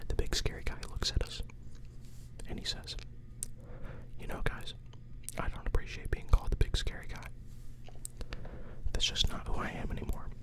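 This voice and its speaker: Relaxed whispering at a moderate pace, broken by long, frequent pauses, over noticeable background noise. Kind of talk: improvised guided imagination story. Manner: whispered, relaxed, casual.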